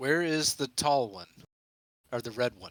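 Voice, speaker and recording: A man speaks in a put-on character voice at a medium pitch. The sound is dry and close, with no echo. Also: moderate pace. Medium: actual play.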